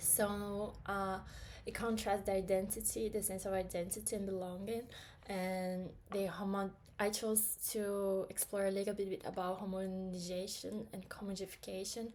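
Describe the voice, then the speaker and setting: In a room with audible echo, a woman speaks at a medium pitch and a moderate pace, her intonation monotone and flat. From Brazil. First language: Portuguese. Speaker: student. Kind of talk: class presentation. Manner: hesitant, many fillers.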